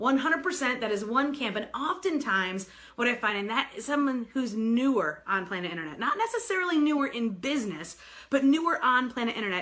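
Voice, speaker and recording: An American woman speaks at a moderate pace in a raised, projected voice, her animated tone carried by very wide pitch swings over noticeable background noise. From New York. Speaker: sales coach and author. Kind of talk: live video broadcast. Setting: live stream.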